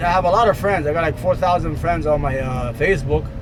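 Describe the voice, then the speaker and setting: A man's voice carries audible room echo over noticeable background noise. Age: 40s. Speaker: vlogger. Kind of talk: casual vlog monologue while driving. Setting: in a car. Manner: fast; halting, many fillers.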